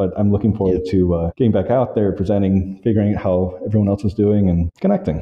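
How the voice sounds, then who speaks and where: Very fast speech with hardly any pauses, in an American accent. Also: man, fairly low pitch for a man, fairly even intonation, very even loudness. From US South, Georgia (Valdosta). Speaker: technology innovation coach at an international school. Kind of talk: interview, casual chat. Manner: hesitant fillers (um, uh).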